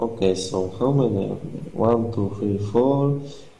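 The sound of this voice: Strong room echo surrounds a man speaking slowly at a fairly low pitch in a dark, mellow tone. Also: ordinary pitch variation.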